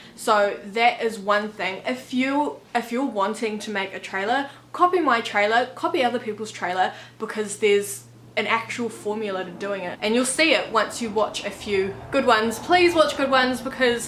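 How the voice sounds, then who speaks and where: A woman with a New Zealand accent, fairly high in pitch, with lively intonation and a moderate pace, against noticeable background noise. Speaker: author and YouTuber. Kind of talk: casual vlog tutorial. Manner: casual, with many fillers.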